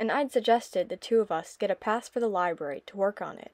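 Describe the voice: What we hear is plain reading aloud.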